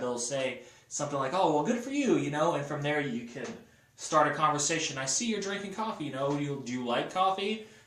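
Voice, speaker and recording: With audible room echo and noticeable background noise, a man speaks at a fairly quick pace and fairly high pitch, using ordinary pitch variation. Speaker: motivational sales vlogger. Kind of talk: casual motivational monologue. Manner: fast; energetic.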